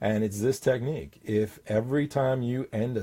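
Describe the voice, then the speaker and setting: A man speaks with a dark, mellow tone. His voice is somewhat breathy. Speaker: confidence coach and hypnotist. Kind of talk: talking-head tip video. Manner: commanding downward inflection.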